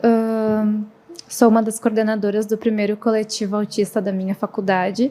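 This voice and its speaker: A woman's fairly high voice, monotone and flat, at a moderate pace. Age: 20s. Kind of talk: podcast interview.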